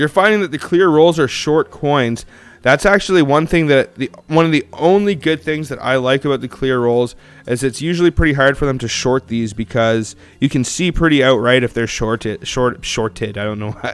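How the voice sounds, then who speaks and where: A man with an Ontario accent speaks in a fairly high pitch, his intonation lively. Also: moderate pace. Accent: Canadian English (Ontario). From Canada. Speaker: coin collecting streamer. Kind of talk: live stream casual chat. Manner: casual, chatty.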